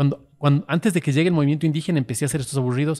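The man's voice is fairly high in pitch, set against a quiet background. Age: 50s. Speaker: social media influencer. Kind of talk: casual chat. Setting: studio. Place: cafe. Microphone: studio mic.

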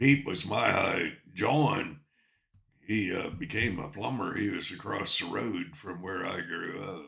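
A man's fairly low voice at a very slow pace, with ordinary pitch variation over a quiet background. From Ontario, Canada. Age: 70s. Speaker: storyteller vlogger. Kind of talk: casual vlog chat, personal storytelling. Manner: rambling, folksy. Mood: reflective, nostalgic. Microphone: webcam.

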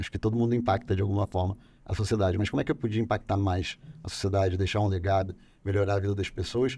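A man with a dark, mellow, fairly low voice speaks at a very fast pace, somewhat breathy and with fairly even intonation. The sound is dry with no echo, over light background noise. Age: 40s. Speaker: politician. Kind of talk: podcast interview. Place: studio. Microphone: studio mic.

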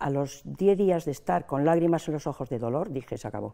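A woman's dark, mellow tone with vocal fry, lively intonation and a moderate pace against a quiet background. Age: old. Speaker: pensioners' association president. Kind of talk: interview. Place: studio. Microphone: lapel.

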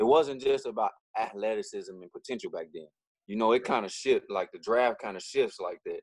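Delivered at a fairly quick pace in a Southern US accent, the speech has big swings in loudness and a dry sound with no echo against a quiet background. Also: man. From Louisiana. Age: 40s. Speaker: podcast co-host, former pro basketball player; podcast co-host. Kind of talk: casual chat. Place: home room. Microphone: video call.

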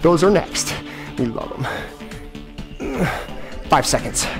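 Clear music plays in the background as a man talks at a very slow pace. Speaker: fitness trainer. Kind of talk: workout instruction. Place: gym.

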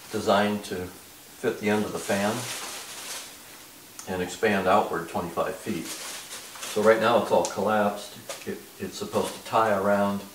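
Audible room echo and light background noise surround the recording. A man talks at a fairly slow pace with fairly low pitch. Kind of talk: casual product unboxing talk. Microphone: camera far.

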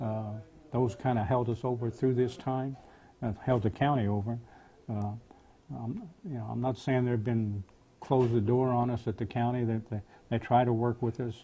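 The man's voice is dark and mellow in tone, somewhat breathy, with fairly even intonation. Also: medium pitch for a man, moderate pace. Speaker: county sheriff. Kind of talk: interview answer.

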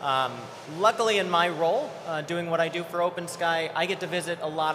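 A man talks at a fairly high pitch. Noticeable noise runs in the background. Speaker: panel moderator, software services executive. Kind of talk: conference panel discussion. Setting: stage with audience.

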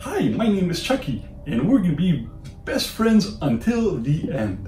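Putting on a character voice, a man speaks at a moderate pace in a high pitch over clear background noise. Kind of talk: childlike good-guy tone. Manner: sweet, friendly, cheerful.

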